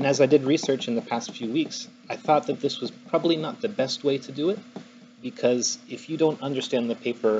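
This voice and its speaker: Noticeable background noise sits behind a man whose fairly high voice swings very widely in pitch. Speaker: software engineer presenting a paper at a meetup. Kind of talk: technical talk to a live audience. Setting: stage with live audience, dark room. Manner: fast; loud, sometimes mumbling.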